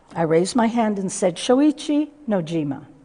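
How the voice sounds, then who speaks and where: A woman with an American accent speaks at a fairly slow pace with lively intonation and a dark, mellow tone. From US Midwest, Chicago. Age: 80s+. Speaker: speaker on Japanese American internment history. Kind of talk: public talk to teachers.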